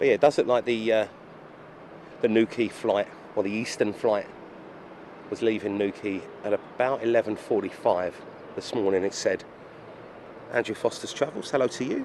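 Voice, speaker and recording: A man with an Essex accent speaks with long, frequent pauses. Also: medium pitch for a man, moderate pace. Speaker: aviation live streamer. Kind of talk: live stream commentary. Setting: airport control tower. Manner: casual, chatty.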